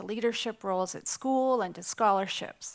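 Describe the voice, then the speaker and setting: A plain, everyday voice, a woman's, fairly high in pitch with a Canadian accent, lively intonation and a moderate pace, on a very clean recording with a silent background. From Canada. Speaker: nonprofit CEO. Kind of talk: keynote speech.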